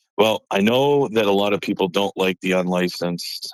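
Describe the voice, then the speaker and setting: A man in an American accent at a moderate pace, with ordinary pitch variation and a dry, close sound with no echo. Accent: Boston accent, barely noticeable when calm. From north of Boston, Massachusetts. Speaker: card collector caller. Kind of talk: phone-in question. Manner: calm, cool-tempered.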